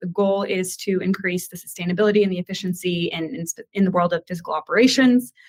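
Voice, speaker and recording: With an American accent, a woman speaks at a very fast pace and medium pitch, her intonation fairly even. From US. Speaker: sales director. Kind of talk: webinar panel.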